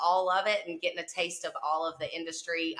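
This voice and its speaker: A fairly low-pitched woman at a moderate pace, with noticeable background noise. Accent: Southern US. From southwest Mississippi. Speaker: cleaning business owner. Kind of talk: casual interview chat.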